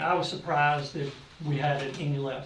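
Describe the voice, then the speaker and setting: Audible room echo and noticeable background noise fill the clip. A man speaks at a fairly high pitch. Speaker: public health department director. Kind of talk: report to county officials at public meeting. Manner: fast.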